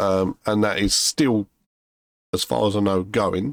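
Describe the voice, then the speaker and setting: With a British accent, a man talks at a fairly slow pace and a fairly low pitch. The sound is dry and close, with no echo. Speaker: gaming video creator. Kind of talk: gameplay commentary. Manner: halting, many fillers.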